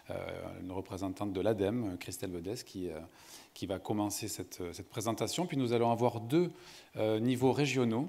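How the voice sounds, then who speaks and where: A man with a southern French accent speaks at a moderate pace in a fairly low, dark and mellow voice, his lively intonation broken by long, frequent pauses on a very clean recording with a silent background. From southern France, Montpellier. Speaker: sustainability consultant, panel moderator. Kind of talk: conference panel moderation. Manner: hesitant, many fillers.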